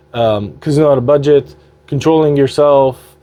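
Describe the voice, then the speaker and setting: A man with a non-native accent, medium pitch, ordinary pitch variation and a moderate pace. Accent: non-native English, sometimes stumbles. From Quebec, Montreal (Armenian family). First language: Armenian. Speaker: slot gaming youtuber. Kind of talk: casual vlog update. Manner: loud; halting, many fillers.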